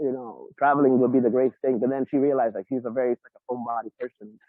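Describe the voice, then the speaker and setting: Speaking at a very fast pace, a man talks with a New York accent. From New York, the Bronx. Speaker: interviewee, show caller. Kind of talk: casual chat. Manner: halting, repetitive. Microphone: muffled, sounds underwater.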